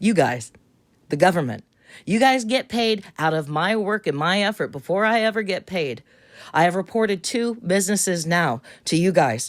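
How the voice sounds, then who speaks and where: Her pitch medium and her intonation lively, a woman is speaking. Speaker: caller filing a complaint. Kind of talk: complaint phone call. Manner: fast.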